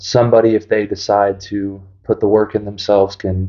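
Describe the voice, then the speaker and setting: With a St. Louis accent, a man speaks at a moderate pace in a fairly low pitch and flat, monotone intonation. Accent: Midwestern American (St. Louis). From US Midwest, St. Louis area, Missouri. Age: 20s. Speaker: person in addiction recovery. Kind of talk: personal testimony. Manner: hesitant, many fillers.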